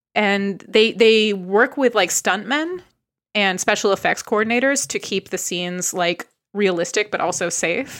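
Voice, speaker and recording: In a very clean recording with a silent background, a woman with an ordinary speaking voice talks fairly slowly at medium pitch, with ordinary pitch variation. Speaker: podcast co-host. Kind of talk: casual chat, comedy podcast.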